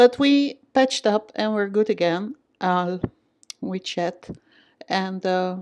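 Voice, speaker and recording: In a Dutch accent, a woman with a medium pitch speaks at a very slow pace with ordinary pitch variation and long, frequent pauses. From Netherlands. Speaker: vlogger. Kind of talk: personal vlog. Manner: hesitant, many fillers.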